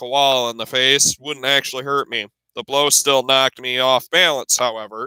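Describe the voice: The clip is plain reading aloud. The intonation stays fairly even against a quiet background.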